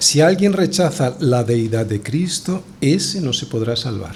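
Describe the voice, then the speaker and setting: There is audible room echo as a man speaks at a fairly slow pace. His intonation is lively. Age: 60s. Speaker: pastor. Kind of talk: sermon.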